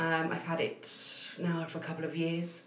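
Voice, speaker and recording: In a room with audible echo and noticeable background noise, a woman speaks in a fairly low voice. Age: 30s. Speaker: marketing agency owner. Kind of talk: interview.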